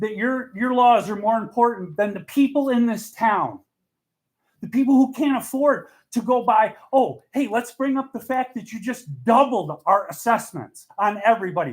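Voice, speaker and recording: Loud and extremely high-pitched, a man speaks with ordinary pitch variation. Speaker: resident speaking at public comment. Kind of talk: public comment at town meeting. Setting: town board meeting hall. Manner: fast.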